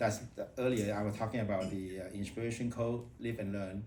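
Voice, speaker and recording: In a room with audible echo, a man speaks in a dark, mellow, somewhat breathy voice. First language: not English. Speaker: public speaking club member. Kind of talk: impromptu speech. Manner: halting.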